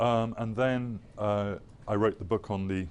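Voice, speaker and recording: An English accent with fairly even intonation. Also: man. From England, North London. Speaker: think tank researcher and former journalist. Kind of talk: lecture. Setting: lecture hall with audience and projected map. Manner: halting, many fillers and repetitions.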